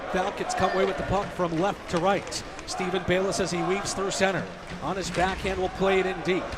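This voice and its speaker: A man speaks over noticeable background noise. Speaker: radio play-by-play broadcaster. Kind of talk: live hockey radio play-by-play. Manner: fast.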